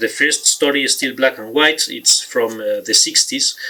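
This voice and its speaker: A man with a Spanish accent, music in the background. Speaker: author and film reviewer. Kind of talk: talk to camera about film history. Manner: halting, many fillers.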